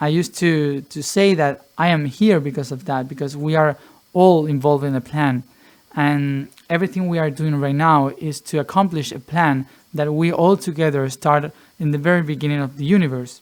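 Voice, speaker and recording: His intonation is fairly even. The man's pitch is fairly high. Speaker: spiritual teacher. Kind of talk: Q&A monologue. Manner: slow; halting, many fillers and repetitions.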